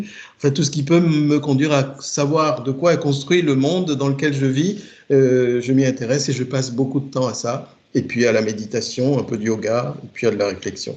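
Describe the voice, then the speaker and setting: The pace is moderate. Pitch variation is ordinary. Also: man, fairly high pitch for a man. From Togo. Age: 50s. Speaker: IT project manager. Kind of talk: interview. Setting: remote work from home. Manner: halting.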